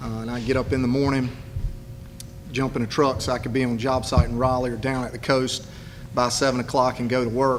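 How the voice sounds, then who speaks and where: A man with an eastern North Carolina accent, at a medium pitch and fairly quick pace, monotone and flat, over noticeable background noise. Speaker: political candidate. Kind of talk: campaign speech. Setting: public event with audience.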